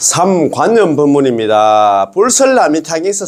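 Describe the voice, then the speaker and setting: The tone is animated and the pace fairly slow. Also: man. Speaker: Buddhist dharma teacher. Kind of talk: lecture. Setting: recorded video lecture. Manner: casual.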